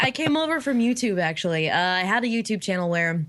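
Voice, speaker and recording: A woman with an American accent and a plain, everyday voice, fairly low in pitch, at a moderate pace. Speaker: streamer. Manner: chatty, casual.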